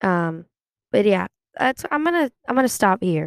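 A dry, close sound with no echo, ordinary pitch variation and an American accent. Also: woman. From California (Sacramento). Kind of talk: personal monologue. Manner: hesitant, many fillers.

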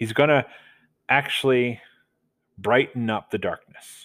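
A man speaks with an American accent at a medium pitch. His pace is very slow. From Delaware, US. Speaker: podcast host, Bible teacher. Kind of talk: casual Bible study monologue.

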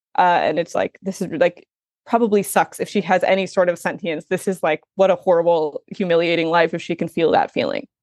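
A woman's fairly low-pitched voice, a plain, everyday voice at a fairly quick pace with ordinary pitch variation, in a dry, close sound with no echo. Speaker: culture writer. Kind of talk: casual interview chat about a film.

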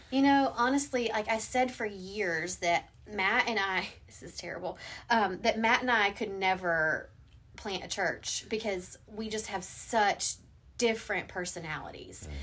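A woman with a plain, everyday voice and an American accent speaks at a fairly slow pace in a medium pitch, with ordinary pitch variation and big swings in loudness. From US South. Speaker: pastor. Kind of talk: casual chat.

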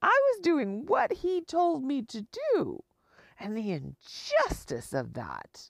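A woman's voice sounds dry and close with no echo. The recording is very clean, with a silent background. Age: 50s. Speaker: podcaster. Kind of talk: personal monologue. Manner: halting.

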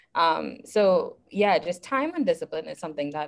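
A woman with a Trinidadian accent at a moderate pace. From Trinidad and Tobago. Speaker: geology graduate student. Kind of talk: casual chat. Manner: halting.

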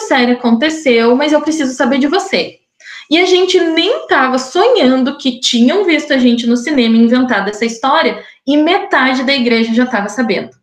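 The woman's pitch is high. She talks at a fairly quick pace. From southern Brazil, Curitiba (Paraná) since age 10. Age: 20s. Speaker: podcast guest sharing her life story. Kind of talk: personal testimony. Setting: recorded conversation.

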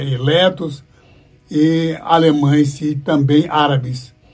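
At a very slow pace, a man speaks in a somewhat breathy, fairly high-pitched voice. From Brazil, interior of São Paulo (born in Paraná). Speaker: evangelist pastor. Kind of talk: interview, life story. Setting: radio studio.

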